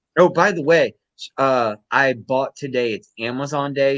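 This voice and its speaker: Medium-pitched man, ordinary pitch variation, moderate pace, dry, close sound with no echo and a quiet background. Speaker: sports podcast host. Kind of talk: casual chat. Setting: live stream. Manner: animated.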